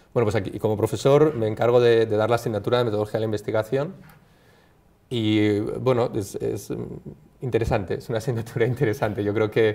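A man speaks at a very fast pace with a dark, mellow tone and fairly even intonation. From Basque Country, Bilbao. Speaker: clinical psychologist and university lecturer. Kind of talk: interview. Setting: studio. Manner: halting, many fillers. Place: studio.

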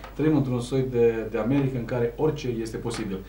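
A man speaks at a moderate pace in a medium pitch, with audible room echo and light background noise. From Romania. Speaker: TV talk show host. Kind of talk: TV interview. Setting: TV studio. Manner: hesitant, many filler sounds. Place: studio.

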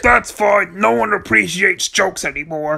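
A put-on character voice at a middle pitch. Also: moderate pace. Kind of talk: comic overacting. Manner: pompous, whiny.

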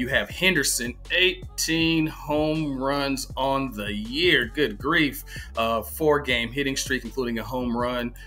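Faint music plays in the background as a man talks at a very slow pace. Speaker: fantasy sports analyst. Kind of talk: commentary. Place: home room. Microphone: webcam.

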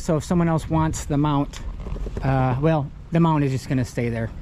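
A man at a moderate pace, dry sound with no echo, light background noise. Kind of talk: casual walkthrough tour commentary. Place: boat. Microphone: phone near.

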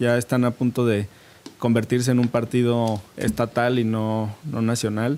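Over light background noise, a man speaks fairly slowly in a flat monotone at very even loudness. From Mexico. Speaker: politician. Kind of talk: televised debate. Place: studio. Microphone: studio mic.

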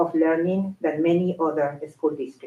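At a moderate pace, a woman with a non-native accent speaks at a fairly low pitch in a dark, mellow tone with fairly even intonation. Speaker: school secretary. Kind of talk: prepared tribute speech.

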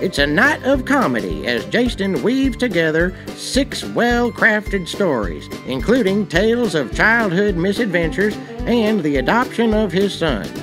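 With music underneath, the speech unfolds fairly slowly. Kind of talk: promotional commercial read.

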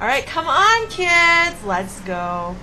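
Through clear background noise, a woman uses a put-on character voice at an extremely high pitch. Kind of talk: gameplay commentary. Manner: flamboyant, campy.

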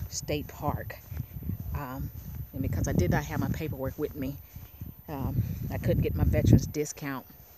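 Delivery moves at a moderate pace. The sound is dry with no echo, and the background noise is loud. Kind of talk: casual vlog chat. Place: open country. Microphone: phone near.

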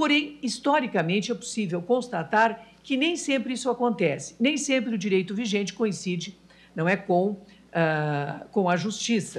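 At a fairly slow pace, this woman's somewhat breathy voice rises and falls in very wide pitch swings. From Brazil. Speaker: judge. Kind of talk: formal speech. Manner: formal. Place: hall. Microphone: podium.

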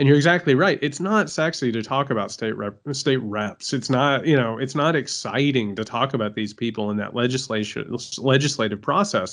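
At a moderate pace, a man with an American accent talks with lively intonation against a quiet background. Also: medium pitch for a man, hardly any pauses. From Indiana, US Midwest. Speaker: podcast co-host. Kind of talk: casual chat. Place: home room.

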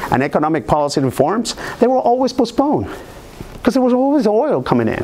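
A man speaks in a Spanish accent. His pitch makes very wide swings. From Venezuela (San Carlos); Venezuela. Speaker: software product manager; guest. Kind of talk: lecture. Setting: room with live audience, streamed. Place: meeting room.

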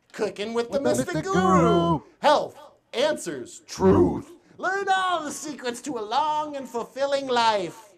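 Noticeable background noise sits under speech that proceeds very slowly. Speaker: mystic guru host character. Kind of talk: comedic mock sermon. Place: studio.

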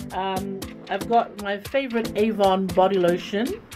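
Fairly slow speech from a woman, clear music playing behind. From Fiji. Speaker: radio and television broadcaster, commercial voice. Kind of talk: casual talk to camera, what's in my bag segment. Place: studio.

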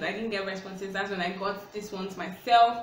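This woman speaks at a fairly quick pace with fairly even intonation. There is light background noise and audible room echo. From Nigeria. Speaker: YouTuber. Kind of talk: casual Q&A vlog. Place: home room. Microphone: phone near.

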